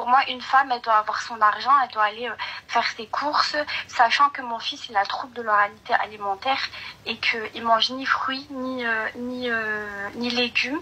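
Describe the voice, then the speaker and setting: A high-pitched woman at a moderate pace, with big swings in loudness, fairly even intonation and noticeable background noise. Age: 20s. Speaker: caller. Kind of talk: advice call-in conversation. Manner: halting, many hesitations.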